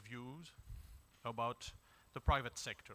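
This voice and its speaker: A man speaks at a fairly slow pace with a French accent. His tone is bright and sharp. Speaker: diplomat. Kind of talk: panel discussion contribution. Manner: formal.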